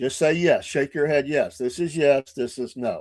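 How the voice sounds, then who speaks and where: A man's fairly high-pitched voice at a fairly slow pace, dry and close with no echo, on a very clean recording with a silent background. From northern Georgia near Tennessee. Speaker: podcast host. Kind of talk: casual live-stream chat. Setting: live stream with chat.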